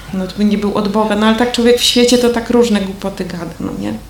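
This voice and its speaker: Amid noticeable background noise and audible room echo, a woman speaks at medium pitch with fairly even intonation. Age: 50s. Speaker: churchgoer giving testimony. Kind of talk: testimony. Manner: casual, conversational.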